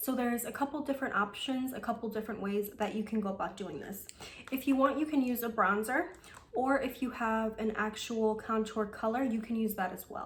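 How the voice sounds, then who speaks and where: A woman with a fairly high pitch talks at a fairly quick pace, with ordinary pitch variation. Noticeable background noise sits behind her. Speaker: beauty vlogger. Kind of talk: makeup tutorial. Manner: casual, chatty; fast.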